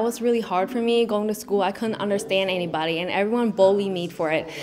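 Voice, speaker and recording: A woman speaks with a Vietnamese accent. Noticeable background noise is present. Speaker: pageant contestant, Air Force member. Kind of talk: interview.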